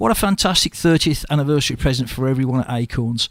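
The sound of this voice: A man at medium pitch, fast pace and lively intonation.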